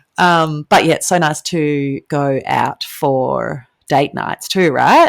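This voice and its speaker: A woman's very slow speech in an Australian accent, with a dry, close sound and no echo. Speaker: podcast co-host. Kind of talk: casual chat.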